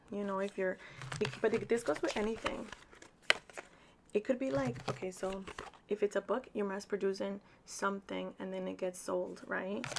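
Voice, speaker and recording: Through noticeable background noise, a woman speaks at a moderate pace and medium pitch with ordinary pitch variation, taking long, frequent pauses. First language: Spanish. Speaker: tarot reader. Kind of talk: tarot reading. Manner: casual, chatty with fillers.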